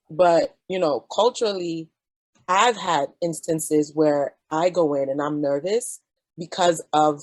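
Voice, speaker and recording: Speaking with a Jamaican accent, a woman has a very deep, low pitch and ordinary pitch variation, recorded dry and close with no echo. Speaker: physician. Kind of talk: panel discussion.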